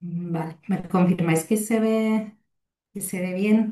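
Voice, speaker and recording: In an Italian accent, a woman speaks at a very slow pace with ordinary pitch variation. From Italy. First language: Italian (speaking Spanish). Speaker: fire safety researcher and lecturer. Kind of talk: lecture. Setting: video call webinar. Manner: hesitant, many fillers.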